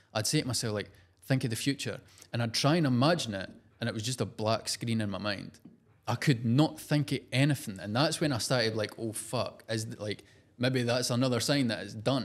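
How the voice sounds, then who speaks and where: On a very clean recording with a silent background, a man with a strong Scottish accent speaks at a fairly quick pace with ordinary pitch variation. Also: medium pitch for a man. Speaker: entrepreneur and social media personality. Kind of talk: podcast interview. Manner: casual, animated.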